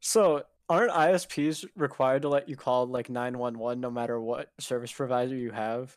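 A man talks at a moderate pace and medium pitch with ordinary pitch variation in an ordinary speaking voice. The recording is very clean, with a silent background. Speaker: podcast co-host. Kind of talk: casual chat.

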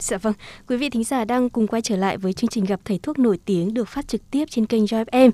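A very fast woman's voice with a dark, mellow tone and fairly high pitch, ordinary pitch variation, dry and close with no echo, in a very clean recording over a silent background. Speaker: radio host. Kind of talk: radio talk show. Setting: studio. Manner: formal.

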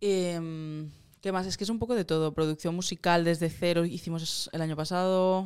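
A woman speaks with a plain, everyday voice. Her pace is moderate and her intonation fairly even. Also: fairly low pitch for a woman. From Catalonia (Moncada). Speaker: singer-songwriter and producer. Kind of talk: casual interview chat.

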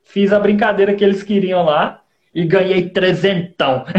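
The pace is fairly slow. A man speaks at a high pitch. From Goiás, Brazil (Goiânia). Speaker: stand-up comedian and accordion player. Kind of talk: casual chat.

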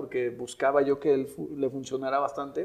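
A man speaks with a dark, mellow tone. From Mexico City. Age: 30s. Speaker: insurance and investment advisor. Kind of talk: casual interview.

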